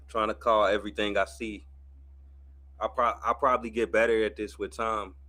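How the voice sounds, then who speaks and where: A man at a fairly quick pace, fairly low in pitch, with a bright, sharp tone and vocal fry. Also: lively intonation. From US Midwest, St. Louis. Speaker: streamer and boxing commentator. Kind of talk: casual live watch-party commentary. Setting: livestream.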